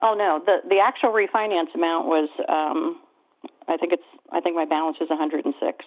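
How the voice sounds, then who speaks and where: This woman talks at a fairly quick pace in an unremarkable speaking voice. Her pitch is fairly low, with ordinary variation. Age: 60s. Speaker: caller. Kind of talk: casual chat.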